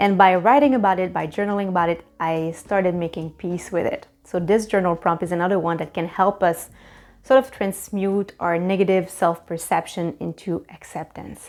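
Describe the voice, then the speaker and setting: A woman speaks in a Quebec accent. Her pitch sits in the medium range. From Quebec, Canada. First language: French. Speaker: life coach and YouTuber. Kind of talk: self-help tutorial.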